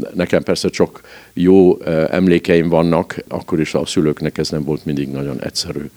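A man speaks at a moderate pace in a very deep, low pitch with a dark, mellow tone. His intonation is fairly even, and the sound is dry and close with no echo. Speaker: royal family member. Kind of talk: interview. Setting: at his home. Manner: halting, frequent repetitions.

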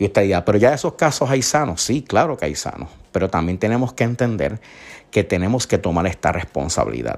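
Speaking with a Puerto Rican accent, a man talks at a fairly quick pace in a fairly low pitch with vocal fry. His pitch swings very widely in a very clean recording with a silent background. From Puerto Rico, Isabela. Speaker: podcast host. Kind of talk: solo news commentary.

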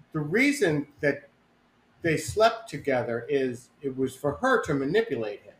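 Very wide pitch swings, big shifts in loudness, a somewhat breathy sound and a fairly slow pace. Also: man, fairly high pitch for a man. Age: 60s. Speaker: podcast co-host's husband. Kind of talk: casual chat.

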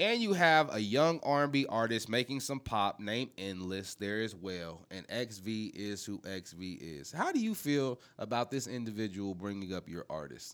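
On a very clean recording with a silent background, a man with an unremarkable speaking voice talks at a fairly low pitch and moderate pace, his intonation lively. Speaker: podcast host. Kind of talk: casual banter, profane.

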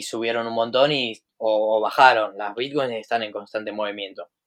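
With a Rioplatense accent, a man speaks at a medium pitch on a very clean recording with a silent background. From Buenos Aires, Argentina. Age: 20s. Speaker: trader and entrepreneur. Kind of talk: casual interview.

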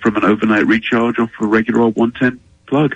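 A man in a plain, everyday voice, fairly even in intonation, with a dry, close sound and no echo. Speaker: automaker communications executive. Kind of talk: radio interview. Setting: phone call.

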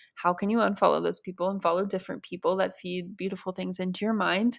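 On a very clean recording with a silent background, a woman of medium pitch uses a plain, everyday voice with fairly even intonation. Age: 20s. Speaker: podcast host, eating disorder recovery. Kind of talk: solo Q&A monologue. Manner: casual, chatty with laughter.

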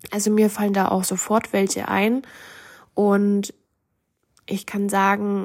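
On a very clean recording with a silent background, a woman speaks at a fairly slow pace and a medium pitch. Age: 20s. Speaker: podcaster. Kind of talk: personal monologue.

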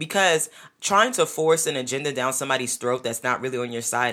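Very deep, low pitch from a woman with a New York accent, animated and bright, sharp in tone, at a fairly quick pace. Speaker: podcast host. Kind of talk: solo podcast monologue. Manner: loud.

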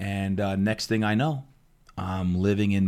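In a very clean recording with a silent background, a man with a plain, everyday voice speaks at a fairly low pitch with fairly even intonation. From New Jersey, Jersey Shore. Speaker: fitness coach and motivational speaker. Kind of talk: interview. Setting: studio.

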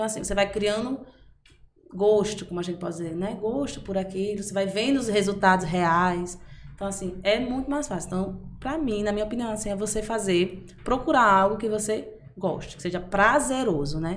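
A woman's normal speaking voice, medium pitch, ordinary pitch variation, moderate pace. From interior of Bahia, Brazil (Amargosa). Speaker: personal trainer. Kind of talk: casual interview.

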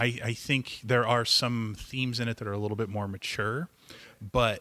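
On a very clean recording with a silent background, a man talks at a moderate pace. His pitch is medium and his tone bright and sharp. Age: 30s. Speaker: comic book shop owner. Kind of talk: casual chat. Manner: animated.

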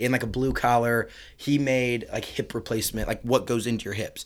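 A man speaks in a Midwestern American accent. His medium-pitched voice moves at a fairly quick pace. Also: very clean recording, silent background. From rural northern Indiana. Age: 20s. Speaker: entrepreneur. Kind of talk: casual interview chat. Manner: filler-heavy, animated.

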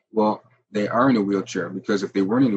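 This man's fairly low voice rushes by at a very quick clip. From Ontario, Canada (Jamaican parents). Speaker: antiracism and cultural literacy educator. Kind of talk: interview.

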